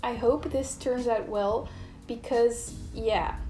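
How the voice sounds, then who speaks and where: Audible room echo surrounds the woman's voice. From Netherlands. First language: Dutch. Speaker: illustrator and YouTuber. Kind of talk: casual chat while drawing.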